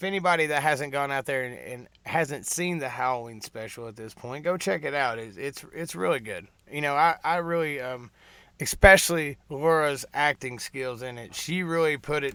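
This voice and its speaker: Delivered in a Southern US accent, the bright, sharp tone moves at a moderate pace with big swings in loudness. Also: man, fairly high pitch for a man, ordinary pitch variation. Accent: Southern country. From US South, Tennessee. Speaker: trucker YouTuber hosting a live show. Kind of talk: casual live-stream chat with a caller. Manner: casual, halting with fillers.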